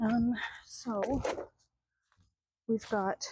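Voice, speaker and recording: A soft-spoken woman at a fairly high pitch, dark and mellow in tone, with a dry, close sound and no echo. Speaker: artist and vlogger. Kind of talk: casual vlog. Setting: outdoors in garden.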